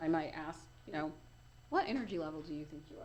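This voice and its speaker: A woman's voice sits fairly low in pitch. Audible room echo surrounds it. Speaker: life coach. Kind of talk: interview. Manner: fast.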